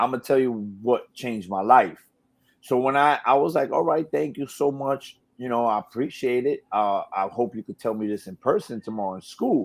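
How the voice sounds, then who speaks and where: A man with a New York accent, medium pitch, ordinary pitch variation and a moderate pace. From New York, Brooklyn. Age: 40s. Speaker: radio DJ and personality. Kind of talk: casual interview chat.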